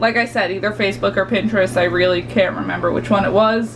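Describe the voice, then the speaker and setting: Loud and at a medium pitch, a woman's voice makes very wide pitch swings over noticeable background noise. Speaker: baking vlogger. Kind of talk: casual vlog tutorial. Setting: home kitchen. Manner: naturally loud; casual, filler-heavy.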